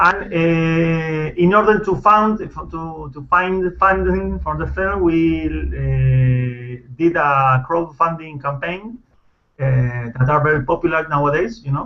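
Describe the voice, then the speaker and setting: A man with a Spanish accent at a fairly high pitch, speaking at a very slow pace. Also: ordinary pitch variation. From Argentina. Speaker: film director. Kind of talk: interview. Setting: video call. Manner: halting, many fillers and restarts.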